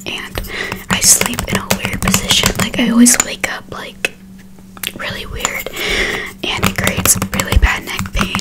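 A woman is whispering. Her pace is fairly slow. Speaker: ASMR creator. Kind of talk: casual ASMR haul talk to camera. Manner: soft whispering. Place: home room. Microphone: studio mic.

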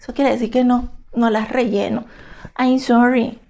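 A high-pitched woman speaks in a dark, mellow tone. The background is quiet. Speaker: fashion and beauty YouTuber; beauty YouTuber. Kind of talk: product haul review. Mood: emotional about hateful comments. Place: home room. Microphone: phone near.

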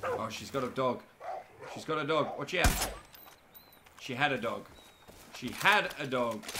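The speaker keeps a moderate pace with ordinary pitch variation, big swings in loudness and long, frequent pauses, over noticeable background noise. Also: man, fairly high pitch for a man. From Australia. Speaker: gaming streamer. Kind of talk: live gameplay commentary. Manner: casual, animated.

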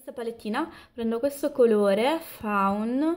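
A woman talks at a very slow pace. Nothing disturbs the quiet background. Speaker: beauty vlogger. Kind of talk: tutorial. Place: home room. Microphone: camera far.

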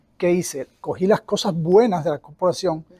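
Dark and mellow in tone, a man's high voice carries fairly even intonation in a dry sound with no echo. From Cuba. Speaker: cleaning company owner; guest. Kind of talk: interview; interview answer. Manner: halting, many repetitions. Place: meeting room. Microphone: lapel.

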